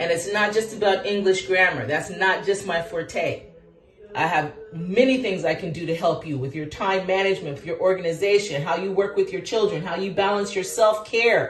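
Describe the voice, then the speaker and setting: Against noticeable background noise and audible room echo, a woman of medium pitch speaks in an animated tone at a moderate pace. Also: ordinary pitch variation. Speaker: teacher and vlogger. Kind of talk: casual monologue to camera. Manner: loud, projecting.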